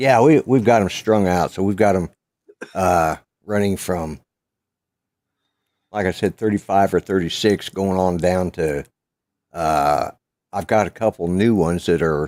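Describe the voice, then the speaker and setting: The recording is very clean, the background silent, and the sound dry and close with no echo. A man with a very deep, low pitch and ordinary pitch variation speaks with long, frequent pauses. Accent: American. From Colorado. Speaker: vlogger. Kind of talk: casual chat.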